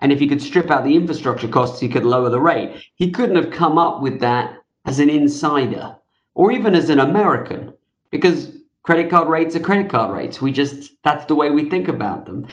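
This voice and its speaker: A man talks in a normal speaking voice, fairly high-pitched for a man, with ordinary pitch variation. His pace is fairly quick. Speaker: author and fintech veteran. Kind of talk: interview answers.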